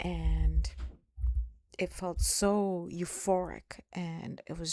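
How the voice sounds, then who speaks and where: A woman speaks with a non-native accent. The sound is dry and close, with no echo. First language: not English. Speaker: spiritual vlogger. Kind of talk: personal testimony. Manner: slow; halting.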